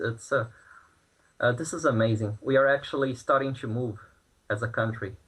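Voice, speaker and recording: In a Brazilian Portuguese accent, a man speaks at a moderate pace and a medium pitch. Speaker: protester interviewed from Brazil. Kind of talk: news interview. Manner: halting, many fillers and repeats.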